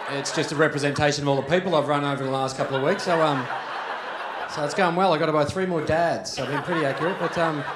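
Amid loud background noise, a man with an Australian accent talks at a very fast pace in a fairly high pitch with fairly even intonation. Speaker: stand-up comedian. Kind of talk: stand-up comedy set. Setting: live comedy club. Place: stage. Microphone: handheld.

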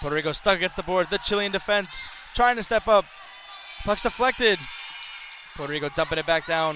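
A man with a high pitch uses a raised, projected voice at a fairly quick pace, with ordinary pitch variation, long, frequent pauses, and noticeable background noise. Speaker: hockey play-by-play commentator. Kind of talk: live sports commentary, play-by-play. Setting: rink stadium broadcast. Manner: rapid-fire, clipped play-by-play delivery.

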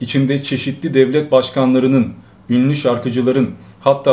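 A man at a moderate pace, monotone and flat in intonation. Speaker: streamer. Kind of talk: live stream commentary. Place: home room.

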